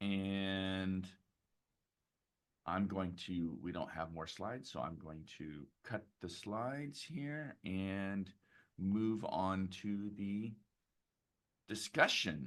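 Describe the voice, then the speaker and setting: Lively intonation at a very slow pace, broken by long, frequent pauses. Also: man, fairly low pitch for a man. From San Jose, California. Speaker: product marketing manager, webinar host. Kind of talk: webinar interview.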